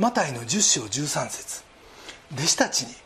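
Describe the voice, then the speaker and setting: The speaker's pitch swings very widely, with noticeable background noise behind the voice. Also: man. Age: 60s. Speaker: pastor. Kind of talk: sermon.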